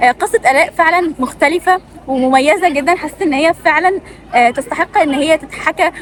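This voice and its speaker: High-pitched female speech at a moderate pace, with ordinary pitch variation amid noticeable background noise. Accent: Egyptian. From Egypt. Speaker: student video creator. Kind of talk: casual interview chat.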